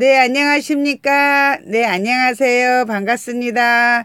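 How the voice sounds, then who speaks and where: In a very clean recording with a silent background, a woman speaks very slowly at a high pitch with ordinary pitch variation. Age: middle-aged. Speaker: mukbang YouTuber. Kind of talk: live stream chat with viewers. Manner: animated.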